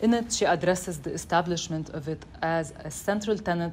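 A woman talks at a fairly quick pace in a plain, everyday voice, her pitch fairly low, with light background noise. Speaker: event host introducing speakers. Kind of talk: formal introduction. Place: classroom.

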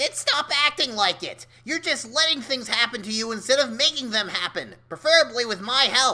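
Using a put-on character voice, a female-sounding speaker talks at a moderate pace with hardly any pauses and a high pitch. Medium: audio drama. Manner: aggressive, mocking, impatient; brash, gleeful.

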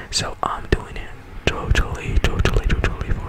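A soft-spoken man whispering at a moderate pace. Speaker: ASMR content creator. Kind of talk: soft ASMR channel announcement. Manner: soft close-mic ASMR whisper. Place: home room. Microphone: studio mic.

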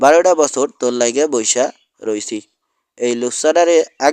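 There is ordinary pitch variation in a natural reading voice heard over a quiet background.

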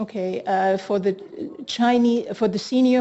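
At a fairly slow pace, a woman speaks in a dark, mellow tone at medium pitch with fairly even intonation.

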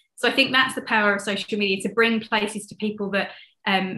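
A woman speaks at a very fast pace in a southern English accent. Her tone is bright and sharp, her intonation monotone and flat. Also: quiet background. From London. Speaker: conservationist and ecotourism advocate. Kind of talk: casual interview. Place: home room. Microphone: video call.

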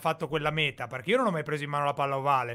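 A man speaks with a bright, sharp tone. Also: quiet background. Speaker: web show host. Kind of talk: casual chat. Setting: video call. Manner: animated. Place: home room. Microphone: studio mic.

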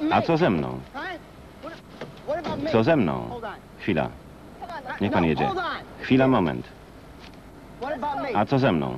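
With very wide pitch swings and long, frequent pauses, the voice moves at a very slow pace over noticeable background noise. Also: man, fairly low pitch for a man. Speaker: Polish film voice-over reader (lektor). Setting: recorded from a VHS tape.

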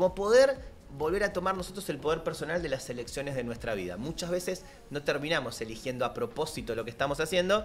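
Lively intonation at a fairly quick pace, over light background noise. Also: man. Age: 40s. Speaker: life coach; guest coach. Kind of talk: casual chat. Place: studio. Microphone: studio mic.

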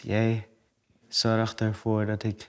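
His voice, a man's, is fairly low in pitch. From Suriname. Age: 20s. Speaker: actor. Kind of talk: casual conversation. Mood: calm, earnest, sometimes smiling. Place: studio.

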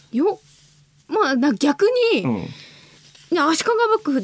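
A woman's voice swings very widely in pitch, recorded dry with no echo. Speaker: radio co-host. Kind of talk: casual radio talk. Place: studio.

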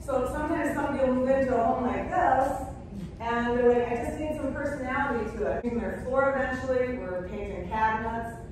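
A woman with an American accent speaks at a very fast pace, her pitch high. Strong room echo surrounds her, with light background noise. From Minnesota. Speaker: interior designer and color consultant. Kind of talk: talk to a club audience. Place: hall. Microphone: camera far.

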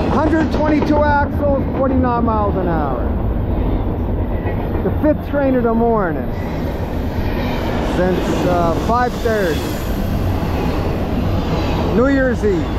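Over loud background noise, the dry, echo-free voice moves at a very slow pace with long, frequent pauses. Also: man. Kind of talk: casual commentary. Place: open country. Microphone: phone near.

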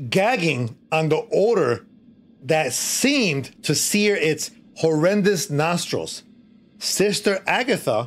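At a very slow pace, a man speaks with lively intonation. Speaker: streamer storyteller. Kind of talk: reading a horror story aloud on a live stream. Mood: playful, dramatic storytelling.

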